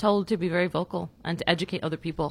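A woman with a plain, everyday voice, at a fairly quick pace with ordinary pitch variation, on a very clean recording over a silent background. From New York City, Bronx. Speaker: criminology professor. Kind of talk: casual chat.

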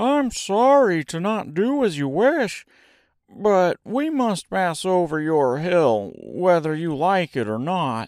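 A man's put-on character voice, high and slightly mellow, slow, with big pitch swings.

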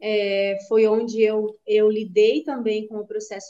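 A woman's fairly high pitch in a dark, mellow tone, with fairly even intonation at a very slow pace. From Canoinhas, northern Santa Catarina, Brazil. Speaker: yoga and meditation teacher. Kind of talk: interview. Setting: studio.

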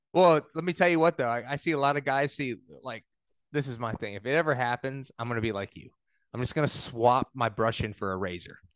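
A man with an American accent and an unremarkable speaking voice talks at a fairly quick pace, medium pitch and ordinary pitch variation, in a dry, close sound with no echo against a quiet background. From New York. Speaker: podcast host, knife maker. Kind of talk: casual interview.

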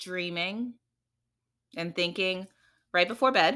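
A woman's medium-pitched voice with a New York accent, bright and sharp in tone, with ordinary pitch variation, in a very clean recording with a silent background. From New York, the Bronx, Trinidadian family. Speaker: guest, mother. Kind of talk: casual chat.

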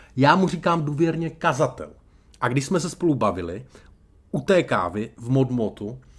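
A man talks at a fairly slow pace with very wide pitch swings and vocal fry. The recording is very clean, with a silent background. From Czechia, Brno (Moravia). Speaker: public speaking coach. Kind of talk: podcast tutorial monologue. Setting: hotel room.

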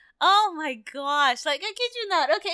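A woman uses a raised, projected voice. She speaks at a fairly slow pace. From US, Mexican-American. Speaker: podcast co-host. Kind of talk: casual chat.

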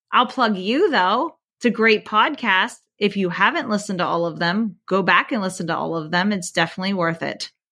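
Speaking at a fairly quick pace, a woman with an American accent has an unremarkable speaking voice at medium pitch with ordinary pitch variation. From Pennsylvania, near Harrisburg. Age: 40s. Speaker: teacher. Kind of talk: casual chat.

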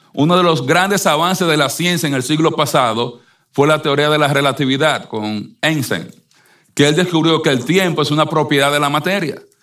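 This man talks at a moderate pace with ordinary pitch variation. He has a normal speaking voice with a fairly high pitch. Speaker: preacher. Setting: church. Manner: earnest, persuasive preaching.

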